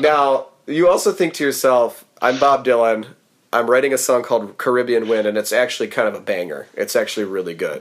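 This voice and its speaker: A man's ordinary speaking voice, medium in pitch, with lively intonation and a fairly quick pace. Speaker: podcast co-host. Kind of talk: casual chat.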